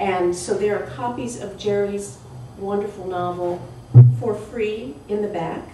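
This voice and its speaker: A woman's fairly slow speech with lively intonation, audible room echo and noticeable background noise. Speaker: panel moderator. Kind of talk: panel discussion. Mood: warm, reflective. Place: hall. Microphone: camera far.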